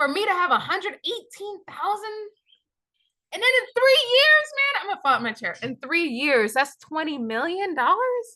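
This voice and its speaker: In a raised, projected voice, a woman sounds animated, her extremely high, bright, sharp tone making very wide pitch swings at a moderate pace. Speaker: day trader. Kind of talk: screen-share tutorial.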